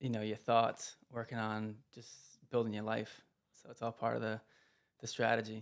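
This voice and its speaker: In a calm tone and monotone, flat intonation, the speaker keeps a moderate pace broken by long, frequent pauses. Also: man, medium pitch for a man. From Providence, Rhode Island. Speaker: real estate investor. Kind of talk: interview.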